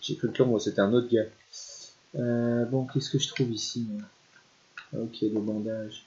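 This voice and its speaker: Amid noticeable background noise, a man talks at a moderate pace, leaving long, frequent pauses. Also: medium pitch for a man, fairly even intonation. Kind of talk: casual gameplay commentary.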